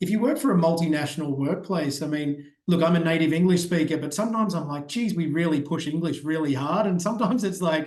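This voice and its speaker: This man talks at a very fast pace in an Australian accent. His pitch is high, with ordinary variation. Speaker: ed-tech growth strategist. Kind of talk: podcast interview. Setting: remote call.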